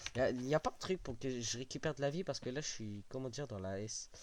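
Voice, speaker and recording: Lively in intonation, a man talks at medium pitch and a moderate pace. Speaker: gaming youtuber. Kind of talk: let's play commentary. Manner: animated.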